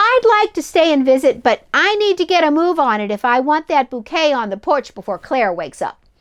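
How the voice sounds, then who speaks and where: A woman uses a high-pitched put-on character voice with very wide pitch swings. She goes at a fairly quick pace with hardly any pauses. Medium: read story.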